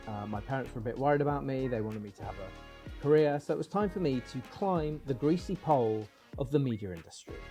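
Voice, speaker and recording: Music plays behind a man who speaks at a fairly quick pace. His fairly high pitch carries lively intonation and big swings in loudness. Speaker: comedian. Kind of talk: comedic video essay narration.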